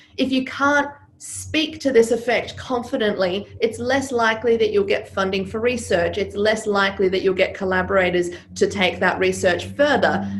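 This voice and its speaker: There is noticeable background noise. Through it, a woman talks at a moderate pace. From Serbia. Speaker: business coach and former stage performer. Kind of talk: interview.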